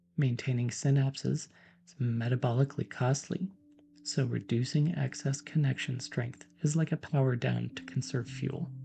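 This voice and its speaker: Whispering at a moderate pace, a man sounds soft-spoken and somewhat breathy, with a calm tone. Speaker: PhD neuroscientist, science educator. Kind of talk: educational lecture, soft-spoken ASMR-style science explanation. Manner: soft-spoken, whispered, calm.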